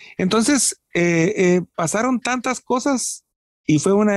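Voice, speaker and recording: A man's voice sounds dry and close, with no echo. The recording is very clean, with a silent background. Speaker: rock singer-songwriter and producer. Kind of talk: casual interview.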